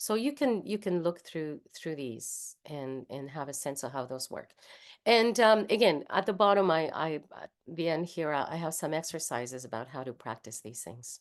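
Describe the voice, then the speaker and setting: Against a quiet background, a woman with a Spanish accent speaks at a moderate pace in a very deep, low voice, with very wide pitch swings and big swings in loudness. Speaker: singer and voice teacher. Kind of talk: workshop lecture.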